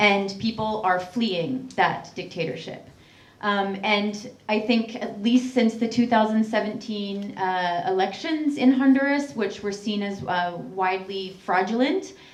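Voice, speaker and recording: A woman's fairly high voice with a Canadian accent, amid audible room echo and noticeable background noise. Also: ordinary pitch variation, fairly slow pace. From Canada. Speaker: human rights activist. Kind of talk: public talk.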